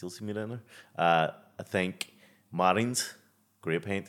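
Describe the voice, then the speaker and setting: On a very clean recording with a silent background, a man with a Belfast accent talks at a moderate pace with ordinary pitch variation. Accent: West Belfast. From West Belfast, Northern Ireland. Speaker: professional boxer. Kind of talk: casual chat. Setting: studio.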